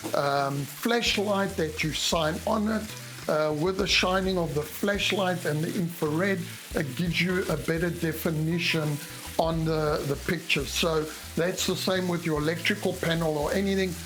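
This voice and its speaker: A high-pitched man speaks at a moderate pace with fairly even intonation, amid noticeable background noise and audible room echo. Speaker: home inspector. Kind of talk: tutorial. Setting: in a house bathroom. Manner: casual, with frequent hesitations.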